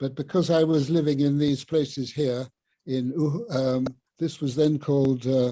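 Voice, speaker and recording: The man's fairly high voice stays monotone, with flat intonation throughout. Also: moderate pace. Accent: southern English. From southern England, Sussex. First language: Luganda. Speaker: professor emeritus of linguistics. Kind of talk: illustrated talk.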